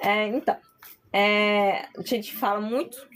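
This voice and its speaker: Noticeable background noise is present. Through it comes a woman's voice. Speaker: spiritual medium and content creator. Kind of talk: live stream talk on spirituality. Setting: live stream.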